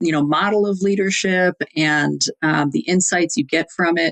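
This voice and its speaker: A woman with a Wisconsin accent at a moderate pace, against a quiet background. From US Midwest, Wisconsin (Fond du Lac). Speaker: executive coach. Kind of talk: podcast interview. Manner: hesitant, many fillers.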